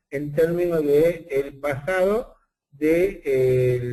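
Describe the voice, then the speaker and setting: In an Argentine accent, a man speaks at a fairly high pitch with a dark, mellow tone and ordinary pitch variation. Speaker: statistician and university professor. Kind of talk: webinar lecture. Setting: online webinar.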